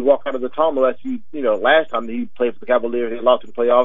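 The voice belongs to a man. Ordinary variation shapes his pitch. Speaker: sports commentator segment guest. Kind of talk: casual sports commentary.

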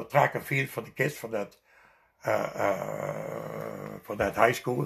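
A man with a Dutch accent talks at a very slow pace. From Netherlands. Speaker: immigrant storyteller. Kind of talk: life story interview.

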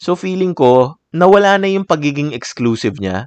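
A man at a fairly slow pace, lively intonation, dry close sound with no echo. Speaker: art podcast host and artist. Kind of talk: solo podcast monologue. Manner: relaxed, calm.

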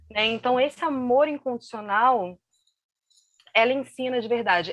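This woman's voice sits high in pitch. Its pitch variation is ordinary. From Brazil, Rio de Janeiro. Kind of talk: interview, personal testimony. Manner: halting, many fillers and repetitions.

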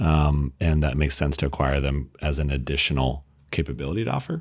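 This man talks at a fairly quick pace, his very deep, low voice carrying vocal fry. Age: 40s. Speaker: tech company founder. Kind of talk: casual chat.

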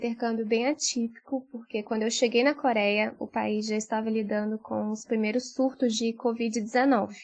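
A woman with a plain, everyday voice speaks at a fairly high pitch. Her pace is moderate, with hardly any pauses. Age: 20s. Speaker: journalist and master's student. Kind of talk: recorded testimony.

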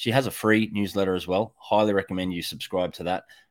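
A man with an Australian accent talks at a fairly quick pace and a fairly low pitch on a very clean recording with a silent background. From Australia, North Queensland. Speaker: electrician and Bitcoin educator. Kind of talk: casual panel chat.

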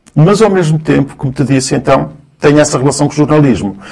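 A man's medium-pitched voice carries noticeable vocal fry. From Cabo Verde, then Angola; raised in Guimarães, Portugal from 1975. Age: 50s. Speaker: sociologist and university lecturer. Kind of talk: casual interview conversation.

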